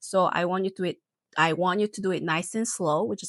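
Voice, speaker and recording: A woman with a Korean accent speaks at a fairly quick pace and fairly low pitch. Her pitch varies normally, and the sound is dry and close with no echo. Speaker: nurse. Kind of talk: tutorial. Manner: hesitant, many fillers.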